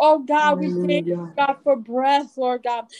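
The woman's speech moves along at a fairly slow pace. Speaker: prayer leader. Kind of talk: fervent prayer. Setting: church. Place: home room. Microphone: video call.

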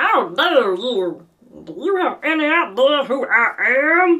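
Putting on a character voice, a woman speaks high and fairly slowly with very wide pitch swings, faint music playing in the background. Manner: indignant, outraged.

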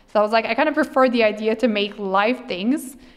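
A woman with a French accent, fairly quick pace and ordinary pitch variation. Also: quiet background. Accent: non-native English, French. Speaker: streamer and cosplayer. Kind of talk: interview answer. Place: hall. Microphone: handheld.

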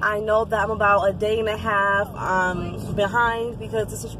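A woman talks at a moderate pace over noticeable background noise, the sound dry with no echo. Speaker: vlogger. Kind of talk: casual vlog chat. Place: car. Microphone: phone near.

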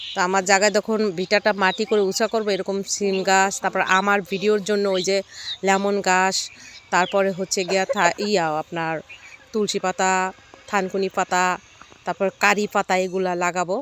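A woman's medium-pitched voice comes through dry and close with no echo, her delivery monotone and flat. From Bangladesh, Shariatpur. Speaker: cooking vlogger. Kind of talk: vlog narration. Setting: outdoors.

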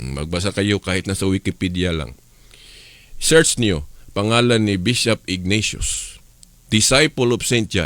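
Lively intonation from a man with a plain, everyday voice and a fairly low pitch. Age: 50s. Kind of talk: radio religious teaching.

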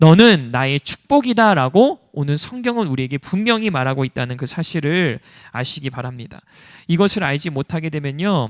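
A man with a fairly high pitch speaks in an animated tone, his pitch swinging very widely. The recording is very clean and dry, close with no echo and a silent background. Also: moderate pace. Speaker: pastor. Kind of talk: sermon.

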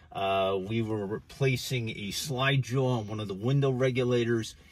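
This man has a plain, everyday voice with fairly low pitch and ordinary pitch variation. His pace is moderate. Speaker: car seller. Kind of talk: car walkthrough commentary. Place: car. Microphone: phone near.

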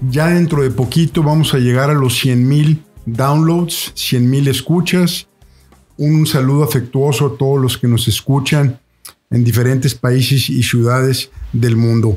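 A man speaks at a fairly slow pace with fairly even intonation. Faint music plays in the background. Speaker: podcast host. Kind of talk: podcast introduction. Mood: warm, courteous. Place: home room. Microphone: studio mic.

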